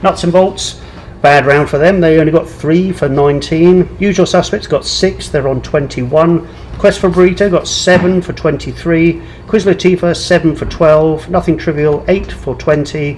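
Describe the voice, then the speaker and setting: Amid noticeable background noise, a man with a fairly high pitch mumbles with fairly even intonation. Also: moderate pace. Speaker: pub quiz host. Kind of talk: live online quiz hosting, reading scores. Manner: mumbling.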